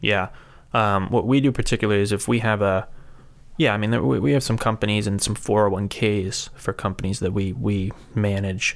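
In a very clean recording with a silent background, a man with a fairly low pitch and ordinary pitch variation talks at a moderate pace and very even loudness, an unremarkable speaking voice. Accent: American. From US Northeast, Rhode Island. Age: 20s. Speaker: financial services associate. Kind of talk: casual interview.

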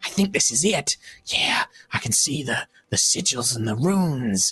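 A man performs a put-on character voice, fairly high-pitched, with very wide pitch swings at a moderate pace. The sound is dry and close with no echo. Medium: actual play. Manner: hesitant, rambling.

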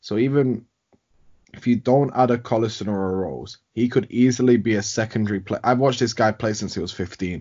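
Here a man talks at a fairly quick pace, his medium pitch carried by fairly even intonation. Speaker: podcast host. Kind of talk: casual chat.

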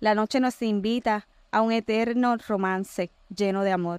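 A woman with a fairly high voice speaks in fairly even intonation, her sound dry and close with no echo on a very clean recording over a silent background. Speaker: poet. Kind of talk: poetry reading. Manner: flustered, laughing, nervous.

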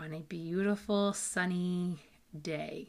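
Fairly low in pitch with ordinary variation, a woman uses a normal speaking voice. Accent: American. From US Massachusetts. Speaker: podcast host and meditation guide. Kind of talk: guided meditation. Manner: calm, slow, soothing and instructive.

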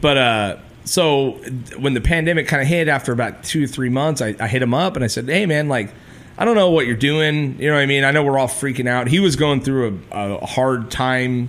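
A man with an unremarkable speaking voice, medium pitch and a fairly quick pace. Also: ordinary pitch variation. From California Mojave desert, raised in Ventura. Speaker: musician and podcast host. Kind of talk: casual chat. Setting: studio.

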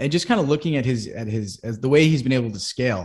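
A man speaks in a normal speaking voice with an American accent, pitched in the medium range. His pitch varies in an ordinary way against a quiet background. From Massachusetts (Boston area). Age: 20s. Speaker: real estate investor and chief of staff. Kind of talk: casual chat.

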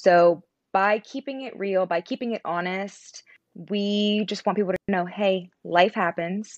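The speaker has a plain, everyday voice with an American accent and fairly even intonation. The sound is dry and close with no echo against a quiet background. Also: woman, medium pitch for a woman. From Pennsylvania, near West Virginia border. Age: 20s. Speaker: content creator, military spouse. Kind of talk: interview conversation.

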